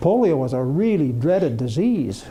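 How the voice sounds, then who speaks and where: With an American accent, a man speaks at a fairly high pitch with very wide pitch swings, and audible room echo surrounds his voice. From Utah, US. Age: 70s. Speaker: retired executive. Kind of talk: lecture.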